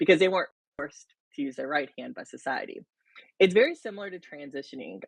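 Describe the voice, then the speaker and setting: A woman with a slight Southern accent and a fairly low pitch. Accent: slight southern drawl. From US South, rural South Carolina. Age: 30s. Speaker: interview guest, reality TV fan. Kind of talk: casual interview.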